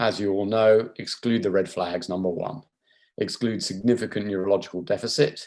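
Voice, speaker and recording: A man with a British accent speaks at a moderate pace in a fairly low pitch. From England. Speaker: neurosurgeon. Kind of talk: lecture. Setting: video call.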